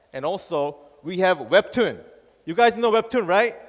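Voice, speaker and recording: A man's animated voice, high-pitched for a male, with very wide pitch swings at a moderate pace. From Korea. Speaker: tech company country manager. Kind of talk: conference presentation. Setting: stage with audience.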